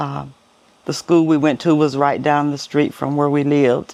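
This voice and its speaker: Speaking slowly, but only fairly so, a woman with an American accent uses a very deep, low pitch and fairly even intonation. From US South, Arkansas (El Dorado). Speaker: interviewee sharing life story. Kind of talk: personal testimony interview.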